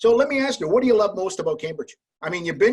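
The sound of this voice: A man talks at a fast pace with lively intonation. His fairly high pitch carries a slightly husky edge.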